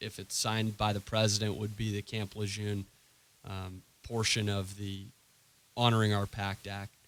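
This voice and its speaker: This man talks with an American accent and a fairly low pitch. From Maine, US. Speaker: lawyer. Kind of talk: radio interview. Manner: halting, many fillers.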